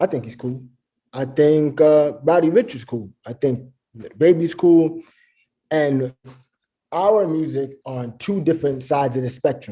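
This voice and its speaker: A man with a New York accent speaks in a fairly high pitch with a dark, mellow tone and lively intonation. His pace is fairly slow, with long, frequent pauses and big swings in loudness. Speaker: rapper. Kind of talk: interview.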